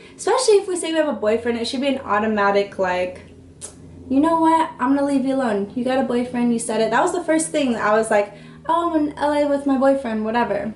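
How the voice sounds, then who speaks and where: A woman speaks at a very fast pace with a high pitch and lively intonation. Noticeable background noise can be heard. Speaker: YouTuber. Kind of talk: storytime vlog. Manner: animated.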